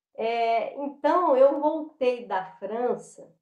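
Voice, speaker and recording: A woman speaks with a Minas Gerais accent. Her pace is very slow. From Minas Gerais, Brazil (Belo Horizonte). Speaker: dancer and tai chi practitioner. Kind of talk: interview. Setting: video call. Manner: halting, many fillers.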